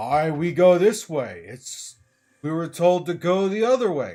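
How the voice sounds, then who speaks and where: Using a put-on character voice, a man speaks fairly slowly with a gruff, high-pitched delivery. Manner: arguing.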